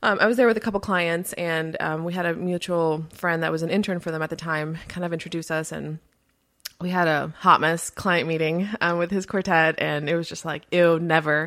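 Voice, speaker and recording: In an animated tone, a woman with a fairly low voice speaks at a fairly quick pace. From Miami, Florida, Colombian family. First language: Spanish. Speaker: music business consultant and podcast host. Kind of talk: interview. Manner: animated, many fillers and laughs.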